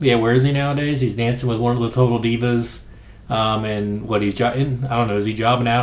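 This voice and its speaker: A man speaks at a medium pitch and a fairly quick pace, with audible room echo. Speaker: wrestling podcast host. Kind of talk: casual commentary monologue. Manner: quiet, low-key.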